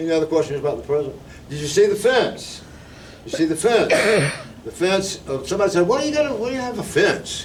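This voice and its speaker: Room echo is audible, and there is noticeable background noise. A man speaks in a South Carolina accent. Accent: Southern US (South Carolina). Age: 70s. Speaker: retired teacher, local preservation volunteer. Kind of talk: talk at a community meeting. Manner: informal, conversational.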